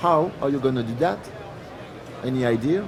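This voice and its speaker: A man at medium pitch talks with lively intonation over noticeable background noise, with audible room echo. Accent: French. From France. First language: French. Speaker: product line manager presenting. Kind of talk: technical presentation. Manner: halting, many fillers.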